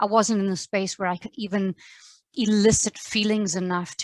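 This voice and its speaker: With an American accent, a woman talks at medium pitch and a moderate pace in fairly even intonation, her sound dry and close with no echo over a quiet background. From South Africa. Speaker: podcast host and English teacher. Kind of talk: casual chat.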